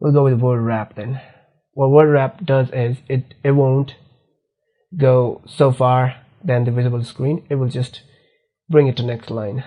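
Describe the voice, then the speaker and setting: A man with a non-native accent, medium pitch and a somewhat breathy voice, fairly slow with long, frequent pauses and fairly even intonation, against a quiet background. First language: not English. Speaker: programming instructor. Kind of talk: screen-recorded coding tutorial. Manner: halting, self-correcting.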